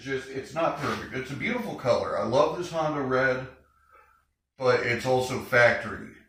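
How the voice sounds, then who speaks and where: A man speaks at a moderate pace amid audible room echo. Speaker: motorcycle garage youtuber. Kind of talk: casual video talk.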